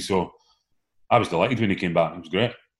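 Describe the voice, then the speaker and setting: A man with a northeast Scottish accent talks fairly quickly at a very deep, low pitch, in a very clean recording with a silent background. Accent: Scottish (north-east). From Scotland, Aberdeen. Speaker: former professional footballer. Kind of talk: casual chat.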